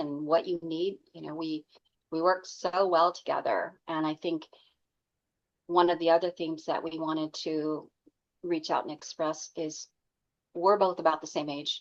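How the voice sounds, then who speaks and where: With an American accent, a woman speaks in an ordinary speaking voice at a fairly low pitch and a moderate pace. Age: 60s. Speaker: book editor and writing coach. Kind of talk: casual chat.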